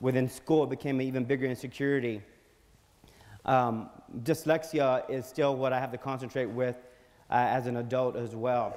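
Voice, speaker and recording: A man with an American accent at a moderate pace, flat monotone intonation, and long, frequent pauses. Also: medium pitch for a man. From South Texas, Alice near Corpus Christi. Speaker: magazine publisher and public speaker. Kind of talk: conference speech. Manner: halting, with repetitions and fillers.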